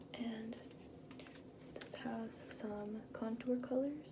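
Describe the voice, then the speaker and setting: Against loud background noise, a soft-spoken woman with a fairly high pitch talks in a calm tone with fairly even intonation. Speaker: ASMR artist doing a makeup artist roleplay; makeup tutorial host. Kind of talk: makeup artist roleplay narration to the viewer. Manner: soft, calm, slow. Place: bathroom. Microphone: phone near.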